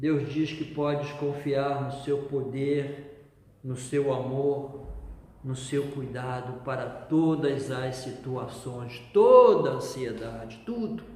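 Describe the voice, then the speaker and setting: Amid noticeable background noise and audible room echo, a man speaks very slowly with a fairly high pitch and fairly even intonation. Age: 60s. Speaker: pastor. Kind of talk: sermon.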